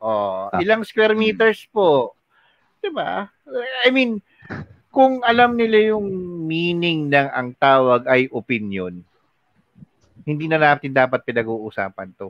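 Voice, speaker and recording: Using very wide pitch swings at a fairly high pitch, a man speaks at a very slow pace with long, frequent pauses. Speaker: podcast co-host. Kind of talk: casual chat.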